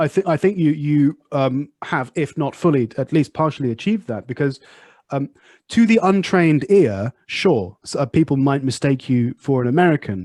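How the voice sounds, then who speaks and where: Against a quiet background, a man with a slight Southwest English accent talks at a moderate pace with lively intonation. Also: fairly high pitch for a man, dry, close sound with no echo. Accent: slight Southwest English, oi-like ou sound. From Southwest England. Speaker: podcast host and English teacher. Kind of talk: casual interview chat.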